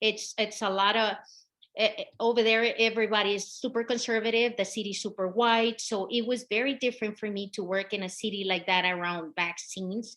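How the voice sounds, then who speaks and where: A woman with a Mexican accent, fairly high pitch, fairly even intonation and a fairly quick pace, over a quiet background. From Mexico, Michoacan. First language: Spanish. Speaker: health equity consultant. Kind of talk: presentation.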